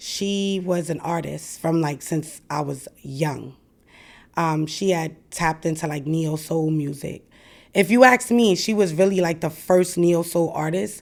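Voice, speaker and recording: A woman speaks with a fairly low pitch and ordinary pitch variation. The recording is very clean, with a silent background. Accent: New York. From Brooklyn, New York. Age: 40s. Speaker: former rapper and host. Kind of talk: interview.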